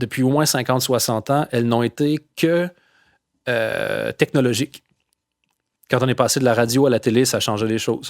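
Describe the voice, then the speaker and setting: A man with a Quebec accent at medium pitch, moderate pace and fairly even intonation, long, frequent pauses, and a dry, close sound with no echo. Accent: Quebec French accent, kept after years abroad. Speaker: comedian. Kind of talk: casual chat. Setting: podcast interview.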